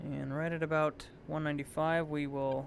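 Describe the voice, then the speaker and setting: A man talks in a relaxed tone at a fairly slow pace. Music plays in the background. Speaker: flight sim streamer. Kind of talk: live gameplay commentary. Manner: casual, relaxed.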